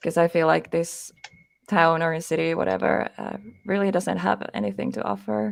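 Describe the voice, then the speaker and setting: A woman with a Finnish accent speaks at a moderate pace. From Finland. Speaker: paranormal investigator. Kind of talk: interview.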